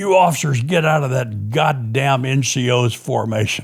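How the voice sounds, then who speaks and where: A man's gravelly, put-on character voice, medium in pitch, at a moderate pace. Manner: yelling, barking an order.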